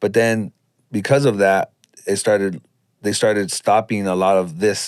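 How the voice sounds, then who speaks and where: A plain, everyday voice from a man with an American accent, fairly low-pitched and fairly slow, with fairly even intonation. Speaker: street dancer, community organizer. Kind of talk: podcast interview answer. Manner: conversational, thoughtful.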